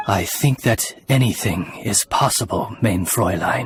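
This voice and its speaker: Putting on a character voice, a man speaks at a medium pitch and a fairly slow pace while faint music plays in the background. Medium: video game. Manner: formal, courteous.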